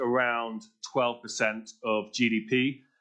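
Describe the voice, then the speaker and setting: A man with a British accent talks at medium pitch. His intonation is monotone and flat over a quiet background. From Britain. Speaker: policy speaker. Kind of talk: conference speech. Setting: panel event at a think tank.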